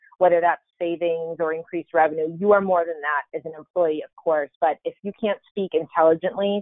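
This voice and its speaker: A woman with a fairly low pitch talks at a fairly quick pace in an ordinary speaking voice. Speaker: marketing executive. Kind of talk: casual chat.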